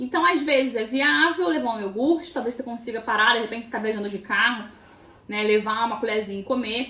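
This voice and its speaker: A woman's speech shows ordinary pitch variation, with noticeable background noise behind it. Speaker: nutritionist. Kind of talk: live stream Q&A tutorial. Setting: live stream. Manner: fast; casual, filler-heavy.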